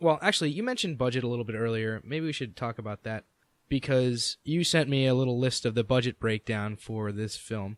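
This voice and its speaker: At a fairly quick pace, a man with an unremarkable speaking voice talks at medium pitch with ordinary pitch variation, and the sound is dry and close with no echo. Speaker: podcast host. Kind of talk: podcast interview questions. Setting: Skype call.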